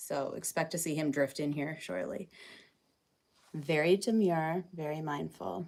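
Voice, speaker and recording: In a Canadian accent, a woman with a very deep, low pitch and vocal fry talks fairly slowly with lively intonation, an animated tone and long, frequent pauses, on a very clean recording with a silent background. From Ontario, Canada. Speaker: farm livestreamer. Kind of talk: casual livestream chat. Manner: chatty, animated.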